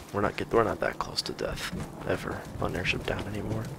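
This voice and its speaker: Over noticeable background noise, a man speaks quietly at a moderate pace. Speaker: video game streamer. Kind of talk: live gameplay commentary.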